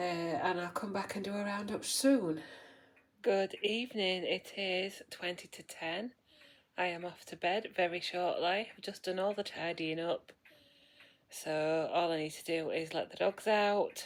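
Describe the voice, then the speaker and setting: A woman's British accent, medium in pitch with ordinary pitch variation, at a fairly slow pace with big swings in loudness. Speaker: vlogger. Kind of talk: video diary.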